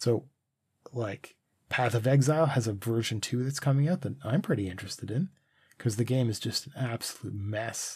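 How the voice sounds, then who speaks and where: On a very clean recording with a silent background, a man sounds somewhat breathy. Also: medium pitch for a man, ordinary pitch variation, moderate pace. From Canada. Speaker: podcast host. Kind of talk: casual chat. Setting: livestream on Twitch. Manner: rambling, halting with many fillers.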